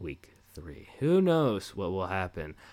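A man at a fairly slow pace, on a very clean recording with a silent background. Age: 20s. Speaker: podcast host, chef. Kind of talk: casual monologue. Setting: home recording with microphone. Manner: casual, rambling with fillers.

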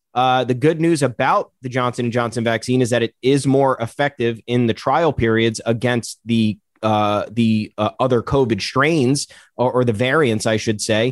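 A man speaks at medium pitch and a moderate pace, with fairly even intonation and very even loudness. It's a plain, everyday voice, recorded dry and close with no echo. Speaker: guest baseball analyst. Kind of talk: casual sports talk, banter.

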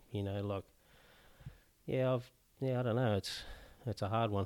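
A man with an Australian accent speaks at a moderate pace and a fairly low pitch. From Newcastle, Australia. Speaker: homeless charity president. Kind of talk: casual interview chat. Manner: halting.

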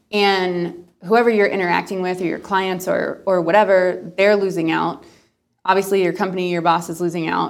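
Her intonation is monotone and flat. The woman speaks at a moderate pace with a medium pitch. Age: 20s. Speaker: nonprofit founder. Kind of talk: interview.

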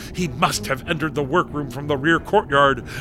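Music plays in the background as a man speaks. His pitch is fairly high, with ordinary variation. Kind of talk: dramatic radio narration, scripted and ominous. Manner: solemn, measured, melodramatic narrator.

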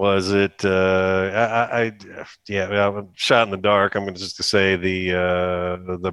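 A man with an American accent, fairly low in pitch, at a very slow pace against a quiet background. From Ohio, Akron. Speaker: podcast co-host, car salesman. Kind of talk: casual chat.

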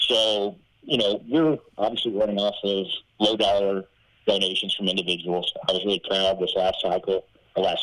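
Noticeable background noise under fairly quick talking. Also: man. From southern Arkansas, US South. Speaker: Senate candidate. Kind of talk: interview.

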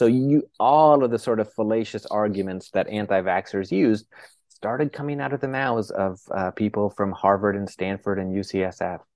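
A man with a fairly low pitch speaks at a moderate pace with an American accent and ordinary pitch variation. It is an unremarkable speaking voice. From northern Florida, US. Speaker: neurologist and psychiatrist. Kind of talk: interview.

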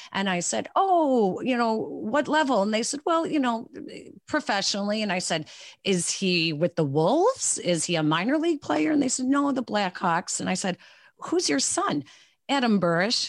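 With a Chicago accent, a woman talks at a fairly high pitch with very wide pitch swings. The recording is very clean, with a silent background. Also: moderate pace. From Chicago area. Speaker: sportscaster. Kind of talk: interview.

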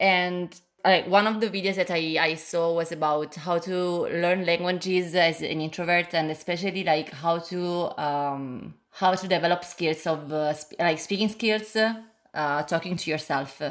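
A woman with a fairly low pitch and fairly even intonation. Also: fairly slow pace. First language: Italian. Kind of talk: casual chat. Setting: video call. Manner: halting.

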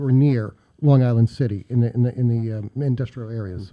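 Against a quiet background, a dark, mellow voice with an American accent moves at a fairly quick pace with ordinary pitch variation. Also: man. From US, Pittsburgh. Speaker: local historian. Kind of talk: radio interview.

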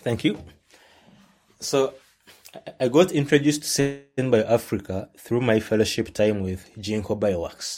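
A man with a Ugandan accent, at a fairly slow pace, with long, frequent pauses. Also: medium pitch for a man, ordinary pitch variation. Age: 20s. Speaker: science communicator. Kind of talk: casual interview. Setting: video call.

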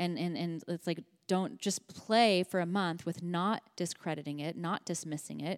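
A woman with a normal speaking voice and an American accent talks at a moderate pace, her fairly low pitch showing ordinary variation. The sound is dry and close with no echo, on a very clean recording with a silent background. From Los Angeles, California. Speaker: founder of a card deck brand and intuition teacher. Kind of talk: casual interview chat.

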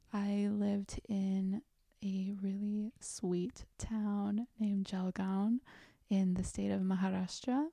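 A woman's dark, mellow, somewhat breathy voice with an American accent, very slow and fairly even in intonation, very even in loudness, in a dry, close sound with no echo. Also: medium pitch for a woman. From South Korea, then Florida from age nine. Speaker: yoga philosophy scholar and life coach. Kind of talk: interview conversation.

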